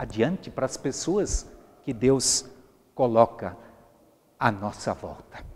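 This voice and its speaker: Somewhat breathy and dark, mellow in tone, a man talks at a fairly slow pace with very wide pitch swings. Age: 60s. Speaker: pastor. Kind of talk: sermon. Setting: empty church.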